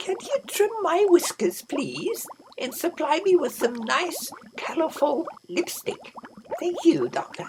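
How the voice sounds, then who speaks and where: A put-on character voice at an extremely high pitch and a fairly slow pace. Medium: read story. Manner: polite, prim.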